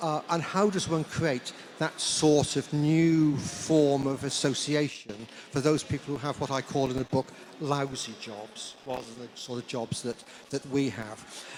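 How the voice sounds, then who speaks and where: Noticeable background noise surrounds a fairly slow voice whose pitch varies in an ordinary way. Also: man, fairly high pitch for a man. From South Wales. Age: 70s. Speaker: historian, author. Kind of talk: panel discussion. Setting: book launch with audience. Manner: halting.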